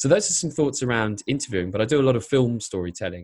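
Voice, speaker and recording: With an English accent and ordinary pitch variation, a man talks on a very clean recording with a silent background. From England. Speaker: YouTube storyteller and filmmaker. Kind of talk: interview.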